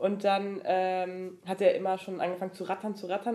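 With a dark, mellow tone, this woman talks at a medium pitch. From Franconia, Germany. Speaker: podcaster. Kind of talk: casual chat.

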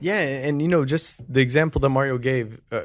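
A man with a plain, everyday voice at a medium pitch, fairly quick pace and ordinary pitch variation, very clean recording with a silent background. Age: 20s. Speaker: entrepreneur and podcast co-host. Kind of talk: casual chat.

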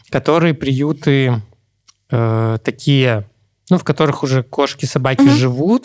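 The sound is dry and close with no echo as a man speaks slowly at a medium pitch, leaving long, frequent pauses. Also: ordinary pitch variation. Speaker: podcast co-host. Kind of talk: casual chat.

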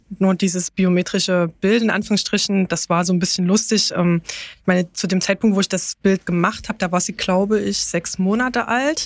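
A woman with a normal speaking voice talks at a moderate pace and medium pitch, with fairly even intonation. The sound is dry and close with no echo, on a very clean recording with a silent background. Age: 30s. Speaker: parent on parental leave, car dealership employee. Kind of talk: interview about travel experience.

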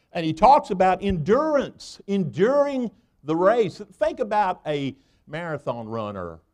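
In a Southern US accent, a man talks at a fairly slow pace with a high pitch. His pitch swings very widely. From US South (Tennessee). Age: 60s. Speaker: guest preacher. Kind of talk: sermon. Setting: church. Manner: animated; folksy, colloquial.

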